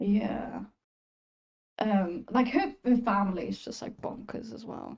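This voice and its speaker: A woman's fairly high voice shows vocal fry and big swings in loudness as she speaks fairly slowly with ordinary pitch variation. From Austria. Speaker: Twitch music streamer. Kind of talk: casual interview chat.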